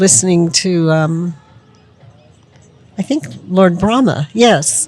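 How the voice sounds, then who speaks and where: With music in the background, a woman speaks in a fairly low pitch. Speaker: devotee, disciple of spiritual teacher. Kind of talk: interview answer. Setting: outdoors.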